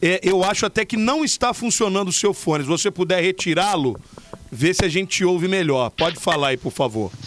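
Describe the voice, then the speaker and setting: Amid noticeable background noise, a high-pitched man talks at a fairly quick pace with lively intonation and very even loudness. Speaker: radio podcast host. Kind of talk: casual radio chat.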